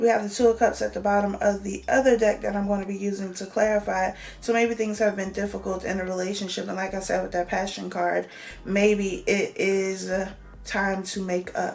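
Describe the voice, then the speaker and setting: Over noticeable background noise, a woman keeps up a fairly quick pace. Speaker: tarot reader. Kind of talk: tarot reading monologue. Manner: casual, conversational.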